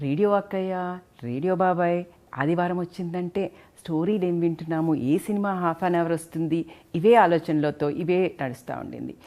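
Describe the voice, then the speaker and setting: Her voice has a dark, mellow tone at a fairly low pitch. This woman's intonation stays fairly even. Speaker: gynecologist. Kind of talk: interview host talk.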